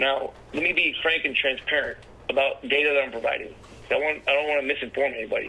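A man with an American accent talks at a very fast pace with very even loudness. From US Mid-Atlantic, Washington DC area (Takoma Park, Maryland). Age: 40s. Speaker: social worker. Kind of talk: casual chat. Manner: hushed, keeping voice down.

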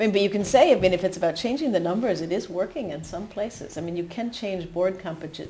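Over noticeable background noise, a woman with an American accent talks at a very fast pace with ordinary pitch variation. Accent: American, still audible. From US New Hampshire. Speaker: HR executive. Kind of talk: interview conversation.

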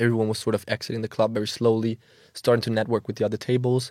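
In a Danish accent, a man speaks at a very fast pace with medium pitch and monotone, flat intonation on a very clean recording with a silent background. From Denmark, Copenhagen. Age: 20s. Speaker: social media marketing agency owner. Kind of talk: casual chat. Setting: studio.

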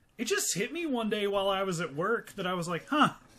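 A man uses a raised, projected voice at a high pitch. His tone is animated, bright and sharp. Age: 30s. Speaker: podcast co-host and comedian. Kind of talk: casual comedic chat, movie podcast. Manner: joking, profane, animated.

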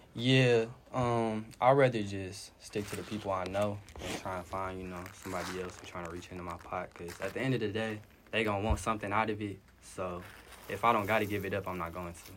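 A man with a fairly low pitch speaks at a fairly quick pace. His intonation is fairly even, but his loudness swings widely. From Detroit. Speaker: rapper. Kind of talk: interview answers.

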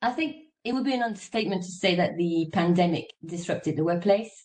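This woman's voice is somewhat breathy. Her intonation is lively. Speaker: moderator. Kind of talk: panel moderation. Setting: video call.

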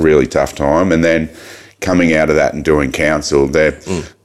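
A very deep, low-pitched man with vocal fry and an Australian accent. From Australia, Mildura (Victoria). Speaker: mayor and businessman. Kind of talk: casual chat. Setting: studio.

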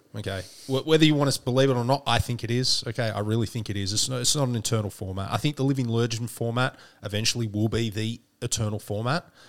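Talking at a very fast pace, a man with a medium pitch keeps his intonation fairly even on a very clean recording with a silent background. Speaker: podcast host. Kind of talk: casual chat.

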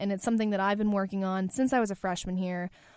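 A woman speaks in a plain, everyday voice at medium pitch with ordinary pitch variation. The recording is very clean, with a silent background. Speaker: podcast host and college student. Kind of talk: solo podcast monologue. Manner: casual, chatty with laughs.

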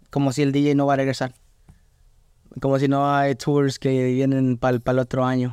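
On a very clean recording with a silent background, a man with a fairly high pitch and a dark, mellow tone speaks at a moderate pace. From Atlanta, US, Mexican family. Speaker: DJ. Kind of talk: casual chat. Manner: halting, many repetitions.

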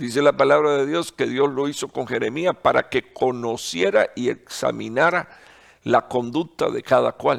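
A man's voice at a very slow pace, with a dry, close sound and no echo. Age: 60s. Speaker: pastor. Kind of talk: sermon. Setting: online broadcast. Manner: halting, many fillers and repetitions.

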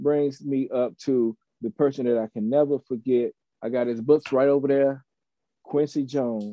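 Pitch variation here is ordinary. The man speaks at a moderate pace. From Tennessee, Chattanooga. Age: 20s. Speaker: hip hop producer and rapper. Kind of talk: casual chat.

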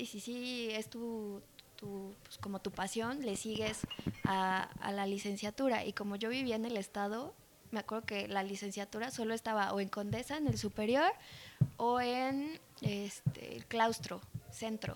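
A woman speaks at a fairly high pitch with ordinary pitch variation and a fairly slow pace. Noticeable background noise is present. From Mexico. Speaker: bartender and mixologist. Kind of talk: casual chat.

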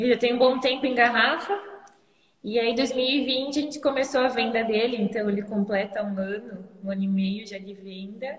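A woman with a fairly high pitch talks at a moderate pace, her loudness swinging widely. Room echo and background noise are both noticeable. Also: ordinary pitch variation. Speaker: winery manager. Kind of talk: casual chat. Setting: live online stream.

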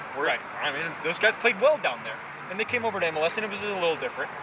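Over noticeable background noise, a voice with an American accent talks at a very fast pace with lively intonation. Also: man. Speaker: soccer podcast guest host. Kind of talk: casual chat. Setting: bar / coffee house.

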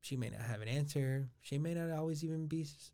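This is a man with a plain, everyday voice and an American accent. He speaks fairly slowly with ordinary pitch variation. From Los Angeles, California (Boyle Heights). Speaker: university administrator. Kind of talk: interview conversation.

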